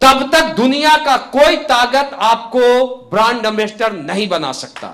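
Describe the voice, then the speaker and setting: A man speaks at an extremely high pitch with ordinary pitch variation. His loudness swings widely. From Bihar, India. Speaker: life coach and direct selling trainer; former army soldier. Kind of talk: motivational training speech.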